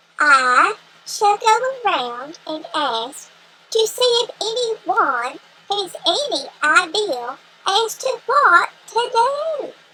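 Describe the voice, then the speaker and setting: In a put-on character voice, a woman speaks very slowly, squeaky and at an extremely high pitch, with very wide pitch swings. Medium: read story. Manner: earnest, formal.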